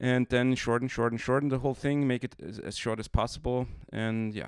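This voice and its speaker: With a German accent, a man speaks fairly quickly in a flat monotone at a medium pitch, with noticeable background noise behind him. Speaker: comic artist. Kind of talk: tutorial. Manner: hesitant, many fillers.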